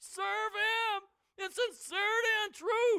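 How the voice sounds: Putting on a shaky character voice, a woman speaks at a very slow pace in an extremely high pitch.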